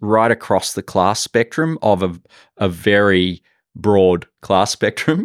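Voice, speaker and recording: The sound is dry and close with no echo, and the intonation is lively. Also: man, very clean recording, silent background. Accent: Australian. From Australia, Sydney. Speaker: professor and art curator. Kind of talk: interview. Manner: halting, many fillers.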